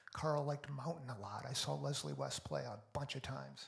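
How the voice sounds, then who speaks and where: A man's somewhat breathy voice sits at a fairly high pitch. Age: 60s. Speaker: musician. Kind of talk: casual livestream chat.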